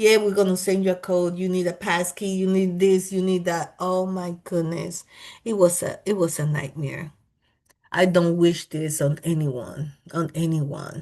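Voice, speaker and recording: With a Panamanian accent, a woman talks at a fairly slow pace in a fairly low pitch and a dark, mellow tone against a quiet background. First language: Spanish. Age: old. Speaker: vlogger. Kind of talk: casual chat. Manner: animated.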